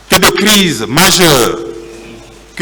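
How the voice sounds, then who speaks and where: A man talks very slowly, with room echo audible and background noise noticeable. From Guinea, Labé. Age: 60s. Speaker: journalist testifying at trial. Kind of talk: court testimony. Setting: courtroom. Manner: formal.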